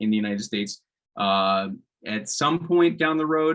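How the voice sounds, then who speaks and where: A man's bright, sharp voice with a New York accent, lively intonation and a moderate pace. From US, New York. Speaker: policy expert panelist. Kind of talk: conference presentation and Q&A.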